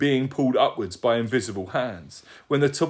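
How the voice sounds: This natural reading voice keeps its intonation fairly even.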